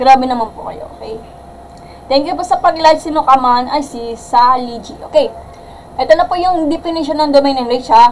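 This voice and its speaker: A high-pitched woman's voice at a moderate pace, with lively intonation over noticeable background noise. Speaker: math teacher. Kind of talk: livestream lesson. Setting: livestream. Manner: loud.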